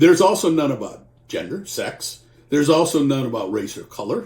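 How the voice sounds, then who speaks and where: A fairly high-pitched man's voice with vocal fry, at a moderate pace. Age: 60s. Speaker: employment lawyer. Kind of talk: informal legal explainer. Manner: conversational.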